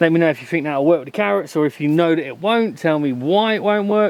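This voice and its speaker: With an English Midlands accent, a man talks at a fairly quick pace in a high pitch, his intonation lively. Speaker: allotment gardening vlogger. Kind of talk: casual vlog talk to camera. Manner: casual, hesitant with fillers.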